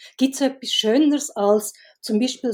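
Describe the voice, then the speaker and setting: On a very clean recording with a silent background, a woman with a high pitch talks at a moderate pace with ordinary pitch variation. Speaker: film director and writer. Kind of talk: casual chat.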